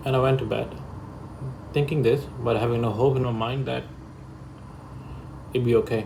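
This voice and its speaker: A medium-pitched man speaks at a moderate pace in a monotone, flat intonation, leaving long, frequent pauses. Audible room echo is present. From Pakistan. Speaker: vlogger sharing illness experience. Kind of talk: personal testimony vlog. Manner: unscripted, halting.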